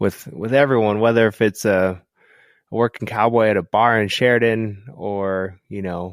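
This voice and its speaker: In a very clean recording with a silent background and a dry, close sound with no echo, a man with an American accent talks at a fairly low pitch with fairly even intonation in an unremarkable speaking voice. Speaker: photographer and writer. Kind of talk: casual chat.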